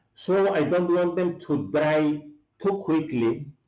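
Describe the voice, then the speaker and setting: At a very slow pace, a man talks in a fairly high voice. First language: Greek. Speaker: chef. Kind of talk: cooking tutorial. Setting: at home. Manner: halting, many fillers.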